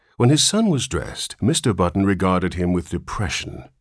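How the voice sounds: Reading in a natural voice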